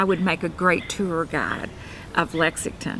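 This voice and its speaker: In a Kentucky accent, a woman speaks with a fairly low pitch. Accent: Kentucky Southern US. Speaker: realtor. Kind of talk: self-introduction promo. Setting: cafe. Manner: casual with many fillers.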